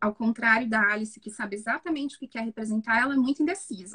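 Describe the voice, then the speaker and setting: Pitched fairly high, a woman talks at a fairly quick pace with ordinary pitch variation in a dry, close sound with no echo. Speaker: psychologist. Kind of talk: live stream film analysis. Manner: fast.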